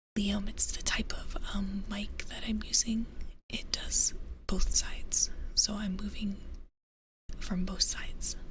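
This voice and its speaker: A woman's soft-spoken whisper at a very slow pace, with long, frequent pauses and audible room echo. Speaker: vtuber streamer. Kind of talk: ASMR tarot reading stream. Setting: live stream. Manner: whispering.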